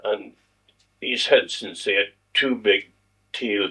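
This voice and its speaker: A man with a Scottish Highland accent at a very slow pace. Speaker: war veteran. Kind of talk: interview answer.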